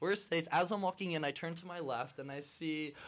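A man talks at a moderate pace in a normal speaking voice. His pitch sits fairly high, with ordinary variation. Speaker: college student. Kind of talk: storytelling interview.

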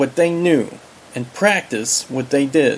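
Noticeable background noise sits behind a man's high-pitched voice. He talks at a fairly slow pace. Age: 40s. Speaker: self-help author. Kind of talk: audiobook narration.

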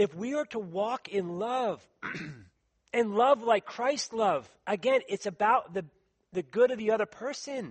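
A man speaks at a fairly slow pace with a high pitch. His pitch variation is ordinary. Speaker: preacher. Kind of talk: sermon. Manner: halting.

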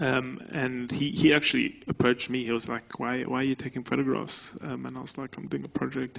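A man talks at a fairly quick pace with hardly any pauses. Noticeable background noise is present. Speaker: artist and photographer. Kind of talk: public artist talk. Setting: stage with audience.

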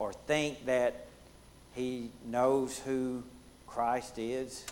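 A man with a Southern US accent speaks at a medium pitch. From US Deep South. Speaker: Bible study leader. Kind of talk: Bible study lesson.

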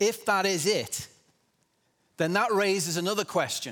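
A man with a non-native accent at a fairly slow pace, with a bright, sharp tone and very wide pitch swings. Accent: foreign accent, self-described. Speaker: church speaker giving a sermon. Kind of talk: sermon. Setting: church with congregation.

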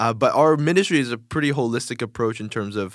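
In a very clean recording with a silent background, a man with a normal speaking voice talks at a fairly quick pace. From Korea, moved to US at five. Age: 20s. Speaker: youth pastor. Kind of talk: casual interview. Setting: studio.

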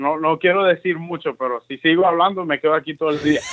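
A man's high-pitched voice at a moderate pace. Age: 20s. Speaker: pastor. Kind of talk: interview testimony.

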